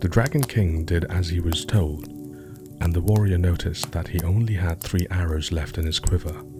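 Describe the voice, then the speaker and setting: Over music in the background, the voice moves at a moderate pace with hardly any pauses, ordinary pitch variation and a soothing, relaxed tone. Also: man, very deep, low pitch for a man. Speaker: storyteller, sleep story narrator. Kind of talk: sleep story narration, calm storytelling.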